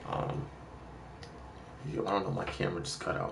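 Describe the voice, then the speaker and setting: Through audible room echo and noticeable background noise, a man speaks at a fairly quick pace. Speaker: gaming streamer. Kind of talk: casual chat. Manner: fast.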